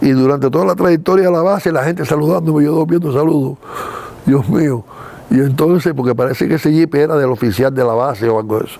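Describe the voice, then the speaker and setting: A man with a fairly high pitch talks at a very fast pace, his pitch varying in an ordinary way. Noticeable background noise is present. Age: 80s+. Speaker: retired film producer. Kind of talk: interview storytelling. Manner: animated.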